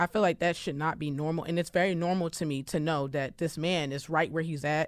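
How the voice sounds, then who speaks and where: A woman's fairly low-pitched voice at a fairly quick pace, in a very clean recording with a silent background. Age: 20s. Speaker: podcast host. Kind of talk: casual chat.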